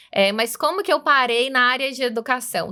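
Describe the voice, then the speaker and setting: A woman with a Minas Gerais accent speaks in a raised, projected voice at a high pitch and a moderate pace. Her tone is bright and sharp, on a very clean recording with a silent background. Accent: Minas Gerais accent, noticeable. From interior of Minas Gerais, Brazil. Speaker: executive manager of tech education coalition. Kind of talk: podcast interview.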